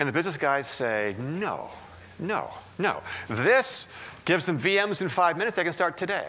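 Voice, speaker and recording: A man with a high, bright, sharp tone, at a moderate pace with very wide pitch swings, amid audible room echo. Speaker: technology consultant and conference speaker. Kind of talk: conference keynote talk. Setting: stage with audience.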